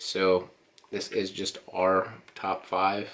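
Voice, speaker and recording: A man speaks in a very deep, low voice with a monotone, flat delivery. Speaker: co-host of couple channel. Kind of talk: casual vlog chat. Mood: relaxed, playful. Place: home room. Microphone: camera far.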